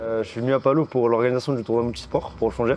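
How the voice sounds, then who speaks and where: Talking at a very fast pace, a man with a medium pitch comes through over noticeable background noise. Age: 20s. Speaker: student volunteer. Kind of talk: interview testimony.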